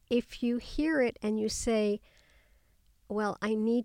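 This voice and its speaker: A woman with an American accent speaks at a fairly slow pace in a dark, mellow tone with ordinary pitch variation. The recording is very clean with a silent background, and the sound is dry and close with no echo. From US. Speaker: memoirist and psychotherapist. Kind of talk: interview.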